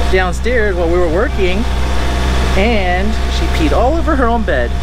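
A man at a moderate pace against loud background noise, in a dry sound with no echo. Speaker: sailing vlogger. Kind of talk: casual vlog chat. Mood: relaxed despite engine scare. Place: boat. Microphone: phone near.

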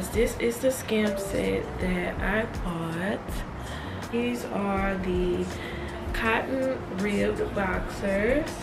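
Amid loud background noise, a woman talks at a very slow pace with long, frequent pauses. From Baton Rouge, Louisiana. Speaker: nursing student. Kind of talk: casual vlog talk to camera. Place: home room.

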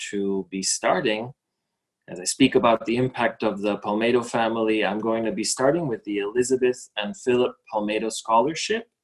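A man talks with ordinary pitch variation. The background stays quiet. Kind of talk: ceremony speech. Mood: warm, slightly nervous. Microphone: webcam.

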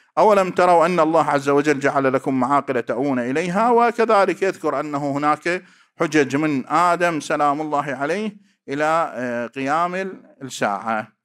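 Over a quiet background, a man's fairly slow speech shows ordinary pitch variation. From Iraq. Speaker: cleric and religious researcher. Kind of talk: academic lecture; academic paper presentation. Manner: formal. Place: hall. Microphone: podium.

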